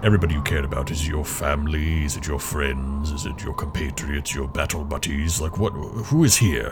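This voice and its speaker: Over clear background noise, a man in a put-on character voice with a very deep, low pitch talks fairly quickly with hardly any pauses. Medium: actual play. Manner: blunt, questioning.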